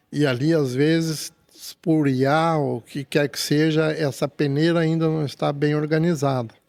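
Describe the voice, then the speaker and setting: A man speaks at a fairly slow pace in a fairly high pitch with a flat, monotone delivery, recorded very cleanly against a silent background. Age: 70s. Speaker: business strategist. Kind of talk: podcast interview. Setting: studio. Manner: halting.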